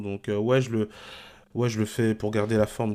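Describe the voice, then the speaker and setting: Very clean recording, silent background, one male voice. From Paris region, Sarcelles. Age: 20s. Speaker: e-commerce entrepreneur and coach. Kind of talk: podcast interview. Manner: hesitant, many fillers.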